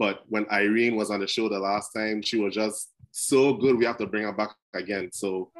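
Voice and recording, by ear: At a moderate pace, the speaker talks in a Crucian accent with fairly even intonation. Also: man, fairly low pitch for a man. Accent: Caribbean, Crucian (Saint Croix).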